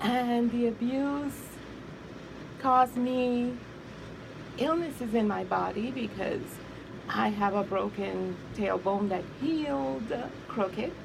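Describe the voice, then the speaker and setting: With audible room echo and noticeable background noise, a woman speaks at a very slow pace with lively intonation and long, frequent pauses. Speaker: abuse survivor and author. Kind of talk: interview testimony.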